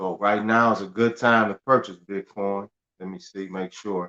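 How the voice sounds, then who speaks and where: With monotone, flat intonation, a man speaks in a dry, close sound with no echo. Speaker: livestream host giving credit and finance tips. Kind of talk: live stream chat. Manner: fast; repetitive, loose.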